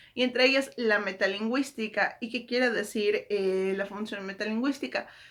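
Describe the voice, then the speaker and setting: The recording is very clean with a silent background. A woman speaks at a fairly high pitch in a bright, sharp tone with fairly even intonation. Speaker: book YouTuber. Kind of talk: casual literary commentary. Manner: hesitant, many fillers.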